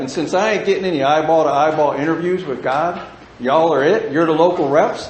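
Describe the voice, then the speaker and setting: Through noticeable background noise and audible room echo, a man speaks at a fairly quick pace with an American accent. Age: 60s. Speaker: recovering alcoholic speaker. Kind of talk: recovery meeting talk. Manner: animated.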